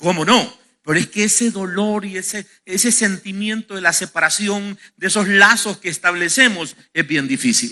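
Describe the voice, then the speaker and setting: A man's raised, projected voice, high-pitched with a bright, sharp tone and ordinary pitch variation. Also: moderate pace. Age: 50s. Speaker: pastor. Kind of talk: sermon. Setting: church. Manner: halting.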